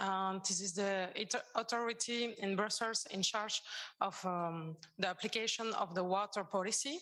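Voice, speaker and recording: A woman speaks in a French accent with ordinary pitch variation. Her tone is bright and sharp. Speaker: environmental agency water coordinator. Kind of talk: conference presentation. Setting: conference with audience. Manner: halting.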